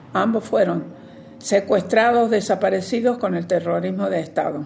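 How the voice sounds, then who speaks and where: A woman at medium pitch talks at a fairly slow pace with lively intonation, amid noticeable background noise and audible room echo. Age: 90s. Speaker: human rights activist. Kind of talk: testimony.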